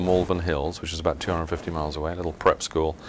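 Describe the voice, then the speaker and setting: In an English accent, a man with a very deep, low pitch talks at a very fast pace. Noticeable background noise is present. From southern England, West Sussex. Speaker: company executive. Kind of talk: interview.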